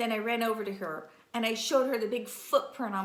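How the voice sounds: The recording features a natural reading voice.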